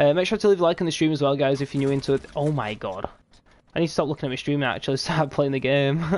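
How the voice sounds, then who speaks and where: Very fast speech in a British accent. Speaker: gaming streamer. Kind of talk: live gameplay commentary. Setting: live stream at night. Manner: quiet; casual, animated.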